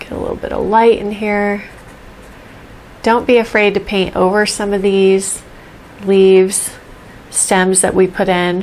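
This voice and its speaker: A soft-spoken woman with a medium pitch talks at a fairly slow pace in a flat, monotone way, leaving long and frequent pauses. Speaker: painting teacher. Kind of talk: tutorial. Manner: casual.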